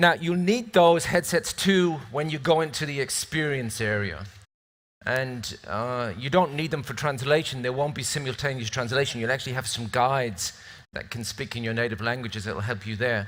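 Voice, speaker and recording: This is a man with a British accent. The recording is very clean, with a silent background. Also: medium pitch for a man, lively intonation, moderate pace. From northern England, near Scottish border. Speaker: event moderator. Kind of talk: event hosting speech. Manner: casual, joking.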